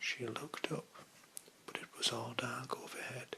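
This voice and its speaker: Whispering in a soothing tone, a man with a British accent is heard over noticeable background noise. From England. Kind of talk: ASMR book reading. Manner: whispered, soothing.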